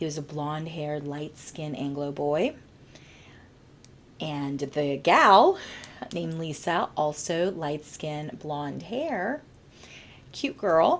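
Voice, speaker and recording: Speech at a very slow pace, broken by long, frequent pauses, keeps a fairly even intonation. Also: woman, very deep, low pitch for a woman. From US, Bolivian-American family. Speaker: podcast host. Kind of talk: personal storytelling podcast. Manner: casual, with fillers like uh and um.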